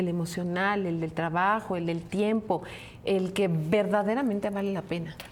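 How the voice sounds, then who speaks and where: Audible room echo surrounds a woman's medium-pitched voice. She keeps a moderate pace and fairly even intonation. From Mexico, provinces. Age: 60s. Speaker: podcast co-host. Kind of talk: casual chat.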